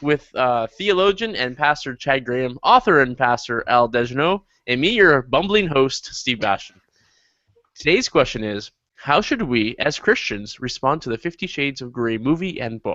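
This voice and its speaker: A man speaks at a medium pitch with lively intonation. His pace is moderate. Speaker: podcast host. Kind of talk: scripted show intro. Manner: loud.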